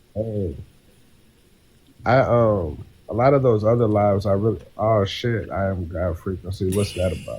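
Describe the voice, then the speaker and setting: Pausing long and often, a man speaks in a fairly low, somewhat breathy voice with ordinary pitch variation. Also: moderate pace. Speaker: poet and author. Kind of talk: casual chat. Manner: rambling, talkative.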